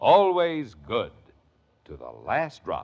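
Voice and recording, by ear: A man at medium pitch, slow pace and very wide pitch swings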